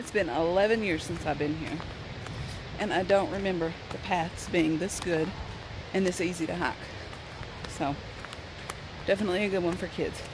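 With noticeable background noise in a dry sound with no echo, a woman of fairly low pitch speaks at a moderate pace with ordinary pitch variation and long, frequent pauses. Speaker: vlogger hiker. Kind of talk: casual vlog chat. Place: forest. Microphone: phone near.

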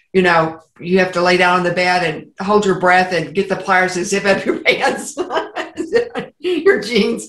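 A woman speaks with audible room echo. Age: 70s. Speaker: interview guest. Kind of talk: interview answer. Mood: warm, humorous storytelling. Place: home room. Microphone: video call.

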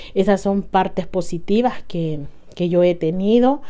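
A woman with a medium-pitched voice and a dark, mellow tone speaks over a quiet background. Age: 40s. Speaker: lifestyle vlogger. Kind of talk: casual vlog monologue. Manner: halting, with fillers. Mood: warm, happy, reflective. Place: home room. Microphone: lapel.

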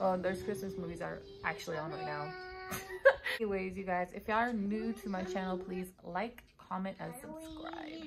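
Noticeable background noise accompanies a woman who speaks at a moderate pace. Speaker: vlogger. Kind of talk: casual vlog chat. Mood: relaxed, cheerful. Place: home room. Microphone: phone near.

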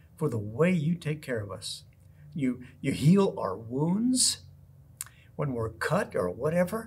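Speaking very slowly, a man uses vocal fry and very wide pitch swings. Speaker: pastor giving children's talk. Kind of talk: children's sermon and prayer. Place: church. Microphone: camera far.

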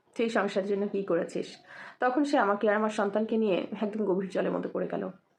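A woman with a fairly high pitch and fairly even intonation talks in an ordinary speaking voice. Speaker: bank employee telling her life story. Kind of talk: motivational personal testimony.

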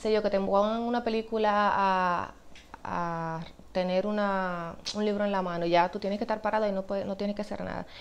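A woman's monotone, flat delivery at a fairly quick pace. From Dominican Republic. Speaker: actress. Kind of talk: interview answer. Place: home room.

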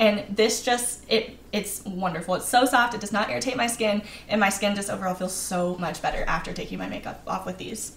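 A woman talks fairly quickly with hardly any pauses and ordinary pitch variation, amid light background noise and audible room echo. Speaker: travel vlogger. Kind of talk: tutorial. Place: home room.

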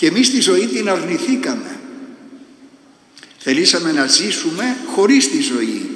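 A man talks at a very slow pace. Audible echo fills the room around him. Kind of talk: sermon. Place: church. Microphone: podium.

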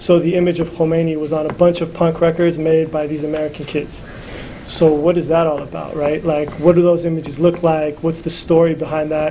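Fairly high male voice, flat and monotone, at a fairly quick pace over light background noise. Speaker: magazine co-founder and editor; panelist. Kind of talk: conference panel talk. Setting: stage with audience. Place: classroom. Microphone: camera far.

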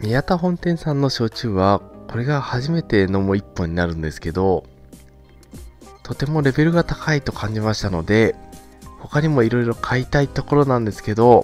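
Over music in the background, a man speaks at a moderate pace with very wide pitch swings, the sound dry with no echo. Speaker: drink reviewer. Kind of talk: product review commentary. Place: home room.

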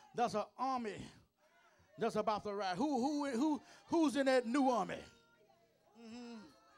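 A man with an extremely high pitch and an energetic tone, at a moderate pace with long, frequent pauses and ordinary pitch variation, over faint background music. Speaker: preacher. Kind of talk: sermon delivered to a congregation. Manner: energetic, call-and-response preaching. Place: church. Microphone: handheld.

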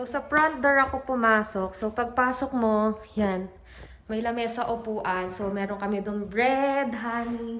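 A woman speaks fairly slowly at a fairly high pitch, her intonation fairly even, over noticeable background noise. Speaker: vlogger. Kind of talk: casual vlog walkthrough. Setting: walking tour of a house.

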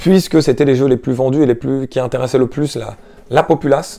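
A man talks at a fairly quick pace with ordinary pitch variation and a dark, mellow tone. The background is quiet. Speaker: gaming YouTuber, video game collector; game collector youtuber. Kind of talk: casual vlog talk to camera. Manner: hesitant, many filler sounds. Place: home room. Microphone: lapel.

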